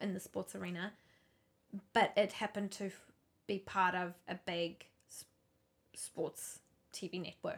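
A woman speaks at a fairly slow pace with vocal fry and a monotone, flat intonation. Her loudness swings widely, and she takes long, frequent pauses. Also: medium pitch for a woman. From South Africa, moved to New Zealand at eleven. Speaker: podcast co-host. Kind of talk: casual chat.

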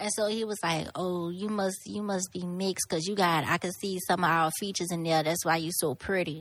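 A woman with a Louisiana accent talks at a fairly low pitch with fairly even intonation and hardly any pauses. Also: fairly quick pace, very clean recording, silent background. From Lafayette, Louisiana. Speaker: podcast guest. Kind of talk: casual chat. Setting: studio.

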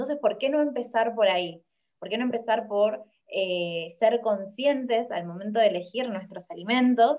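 Speaking at a moderate pace, a woman uses ordinary pitch variation in a fairly high voice. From Argentina, Rosario. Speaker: environmental activist and engineering student. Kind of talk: interview. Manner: hesitant, with many fillers and repetitions.

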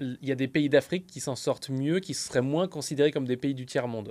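With a normal speaking voice, a man talks at a fairly quick pace in a fairly high pitch, with ordinary pitch variation. The recording is very clean, with a silent background. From France. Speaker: entrepreneur, podcast co-host. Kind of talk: casual chat.

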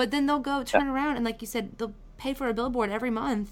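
Delivery comes at a fairly quick clip. Its intonation remains fairly even. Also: woman. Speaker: podcast host. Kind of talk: casual chat. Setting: video call. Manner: fast.

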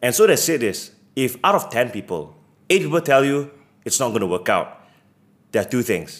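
A man with a medium pitch and vocal fry talks at a moderate pace, his pitch swinging very widely. He leaves long, frequent pauses. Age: 20s. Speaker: business founder. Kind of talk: interview.

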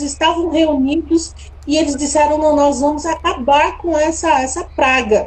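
Fairly even intonation at a moderate speed, amid audible room echo. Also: woman. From São Paulo, Brazil. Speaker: tourism entrepreneur. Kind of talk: interview.

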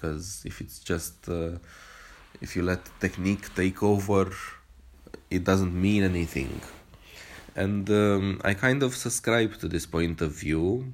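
Speaking fairly slowly with a non-native accent, a man with a very deep, low pitch uses ordinary pitch variation and long, frequent pauses. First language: not English. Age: 30s. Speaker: movement practitioner podcaster. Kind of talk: solo monologue podcast. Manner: halting, many fillers.

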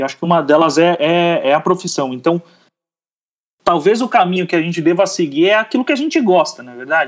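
The speaker moves at a fairly quick pace with lively intonation and big swings in loudness. The recording is very clean, with a silent background. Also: man, high pitch for a man. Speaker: athlete and advertising professional. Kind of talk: podcast interview. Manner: halting, many repeated words.

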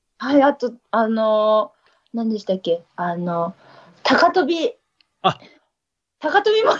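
A woman with a fairly high voice speaks at a fairly slow pace, taking long, frequent pauses, her pitch swinging very widely and her loudness varying greatly. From Niigata, Ojiya. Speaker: trail runner. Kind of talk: casual chat.

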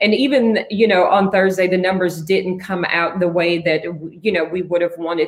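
A woman speaks fairly quickly with a fairly low pitch and fairly even intonation. Noticeable background noise sits behind her. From Tennessee (Franklin). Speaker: public defender and former congressional candidate. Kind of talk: interview.

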